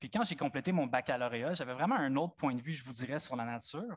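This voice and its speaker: The delivery is fairly quick, with ordinary pitch variation. Behind it, the background stays quiet. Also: man. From Franco-Ontario (eastern Ontario). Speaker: nature photographer. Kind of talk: public talk with slides. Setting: amphitheatre with live audience. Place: stage. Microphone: headset.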